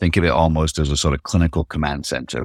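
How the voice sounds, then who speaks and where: A man's very deep, low voice with an American accent, dry and close with no echo, on a very clean recording with a silent background. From Manchester, England. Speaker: startup CEO. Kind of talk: interview.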